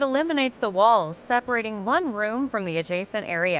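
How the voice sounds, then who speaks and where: This is a woman with a normal speaking voice. She talks at a moderate pace with lively intonation. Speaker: voice-over artist (hired freelance narrator). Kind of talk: corporate narration, home decor list video.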